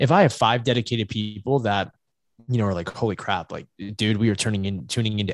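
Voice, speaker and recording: Talking very fast with an American accent, a man uses a fairly low voice, recorded dry and close with no echo. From US South, Virginia Beach area. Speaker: sports agent and entrepreneur. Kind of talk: casual interview.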